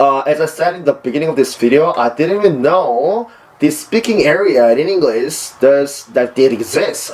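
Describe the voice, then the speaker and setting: Noticeable background noise surrounds a man with a Korean accent. His pitch is fairly high and varies in an ordinary way. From South Korea. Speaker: university student and English learner vlogger. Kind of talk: personal vlog monologue. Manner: hesitant with many fillers.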